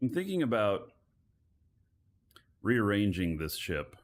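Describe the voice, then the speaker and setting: Soft-spoken and fairly low in pitch, a man talks at a very slow pace with lively intonation. The recording is very clean, with a silent background. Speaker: livestreaming gamer. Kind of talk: live gameplay commentary. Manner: soft-spoken, keeping voice down.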